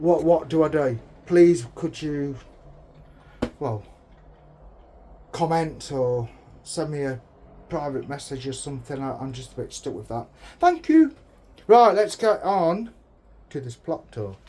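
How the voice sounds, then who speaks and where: Speaking with an English accent, a man uses a fairly high pitch, a dark, mellow tone and lively intonation, with big swings in loudness. He talks at a fairly slow pace with long, frequent pauses. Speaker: allotment vlogger. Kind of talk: casual vlog. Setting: outdoors.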